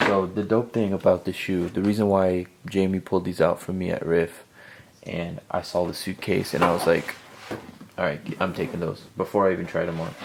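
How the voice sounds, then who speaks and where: Soft-spoken and fairly quick, a man with a very deep, low voice keeps his intonation fairly even. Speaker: sneaker YouTuber. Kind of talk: casual sneaker review video.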